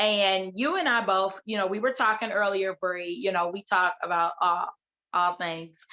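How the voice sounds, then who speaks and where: A woman talks loudly in a bright, sharp tone at a moderate pace. Her pitch sits in the medium range, with ordinary variation. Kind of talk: casual chat. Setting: video call.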